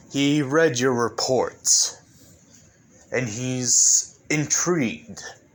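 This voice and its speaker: A man's put-on character voice at medium pitch, ordinary pitch variation, a very slow pace and long, frequent pauses. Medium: read story. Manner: gentlemanly, polite.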